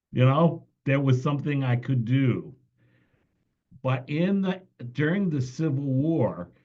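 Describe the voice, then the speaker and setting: Medium-pitched and dark, mellow in tone, this man's voice is somewhat breathy. He speaks at a very slow pace. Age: 60s. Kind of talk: training presentation.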